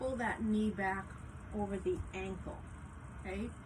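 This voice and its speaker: Amid noticeable background noise and audible room echo, a woman speaks at a fairly slow pace with lively intonation. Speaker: yoga instructor. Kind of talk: guided yoga class instruction.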